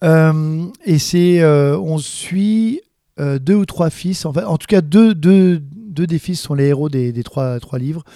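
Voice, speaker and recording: A man talks at a very slow pace with a fairly high pitch and ordinary pitch variation. His tone is dark and mellow. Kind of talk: interview, casual talk. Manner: hesitant, halting, repeats words.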